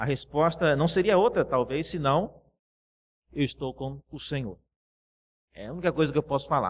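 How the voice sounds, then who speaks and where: A man's somewhat breathy voice, fairly high in pitch, at a moderate pace, with ordinary pitch variation, big swings in loudness, long and frequent pauses, and a quiet background. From Brazil, Cuiabá. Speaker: pastor. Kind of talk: sermon.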